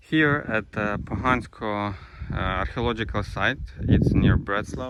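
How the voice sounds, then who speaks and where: Very slowly, a man with a Ukrainian accent speaks at a fairly low pitch, his intonation lively. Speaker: travel vlogger. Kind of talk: vlog narration on site. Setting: outdoors. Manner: halting.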